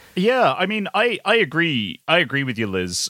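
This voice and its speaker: The voice has a British accent and a bright, sharp tone, recorded with a dry, close sound with no echo. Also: man. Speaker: video lead and cinematography fan. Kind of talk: casual chat.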